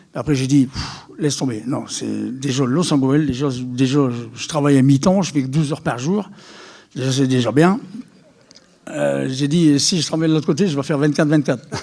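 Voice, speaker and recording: There is noticeable background noise as a man with a fairly high pitch speaks at a moderate pace with ordinary pitch variation. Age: 60s. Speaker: charity volunteer organiser. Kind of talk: public talk. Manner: animated, hesitant with repetitions.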